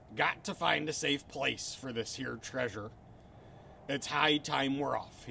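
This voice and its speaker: Over clear background noise, a man puts on a gruff, raspy character voice and speaks at a fairly slow pace. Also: medium pitch for a man. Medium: read story. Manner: loud, gruff.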